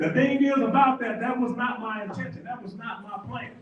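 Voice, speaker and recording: In a Texas accent, a man talks at a fairly quick pace with an extremely high pitch, and audible room echo surrounds him. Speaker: Navy veteran and motivational speaker. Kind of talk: motivational talk to live audience. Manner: fast.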